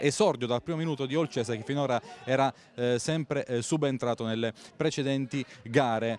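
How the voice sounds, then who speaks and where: An animated man's voice, dry and close with no echo, over noticeable background noise. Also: medium pitch for a man, ordinary pitch variation. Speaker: sports commentator. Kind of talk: live sports commentary. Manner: rapid-fire, breathless play-by-play, rising in excitement on big chances; animated, emphatic, quick name-by-name delivery.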